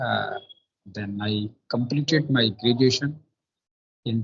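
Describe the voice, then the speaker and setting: A somewhat breathy voice with fairly even intonation and a North Indian accent. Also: man. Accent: Indian English, Hindi belt. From India, Bundelkhand, Madhya Pradesh. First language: Bundelkhandi. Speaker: police officer. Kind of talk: casual chat. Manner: halting.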